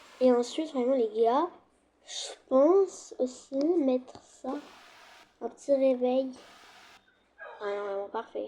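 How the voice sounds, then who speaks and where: The speech moves at a very slow pace with long, frequent pauses. Loudness swings widely, while pitch varies in an ordinary way. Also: woman, high pitch for a woman. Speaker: gaming youtuber. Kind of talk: gameplay commentary. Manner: casual, hesitant.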